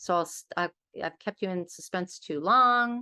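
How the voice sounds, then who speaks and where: A woman with an American accent speaks at a moderate pace in a medium pitch, her tone bright and sharp, with ordinary pitch variation and a dry, close sound with no echo against a quiet background. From US West Coast, Los Angeles. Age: 60s. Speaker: author and interfaith organization leader. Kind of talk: workshop presentation.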